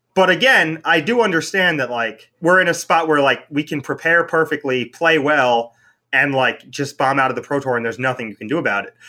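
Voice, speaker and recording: Fairly high for a man, this voice has a bright, sharp tone and hardly any pauses. The recording is very clean, with a silent background. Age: 30s. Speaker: professional card game player. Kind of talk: podcast interview. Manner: casual, many fillers like 'like'.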